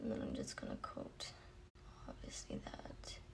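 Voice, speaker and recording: A woman speaks quietly over noticeable background noise. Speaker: beauty YouTuber. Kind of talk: makeup tutorial chat. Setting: home, early morning. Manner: speaking quietly; casual with many filler ums.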